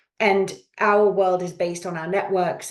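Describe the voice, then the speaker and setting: A woman's medium-pitched voice in a British accent. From Canada (Yukon, Alberta), then England from age eleven. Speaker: executive search consultant. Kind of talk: podcast interview.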